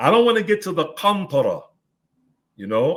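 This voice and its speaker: This is a man speaking. His pace is fairly quick. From Newark, New Jersey. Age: 70s. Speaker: Islamic scholar. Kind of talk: interview. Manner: emphatic, repetitive.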